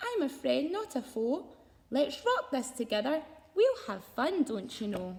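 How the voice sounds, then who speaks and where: In a put-on character voice, a woman squeaks at a high pitch with very wide pitch swings, keeping a moderate pace. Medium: read story. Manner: meek, hesitant.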